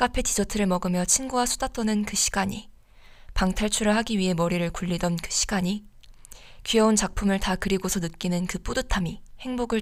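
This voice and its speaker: Recorded very cleanly against a silent background, a woman with a normal speaking voice speaks at a moderate pace and medium pitch with ordinary pitch variation. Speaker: student radio DJ. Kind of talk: radio show, advice and reading listener stories.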